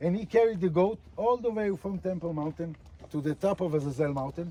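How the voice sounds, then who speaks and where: Speaking at a fairly quick pace, a man with an Israeli accent has a high pitch. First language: Hebrew. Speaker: tour guide. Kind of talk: guided tour talk outdoors. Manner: halting, many fillers.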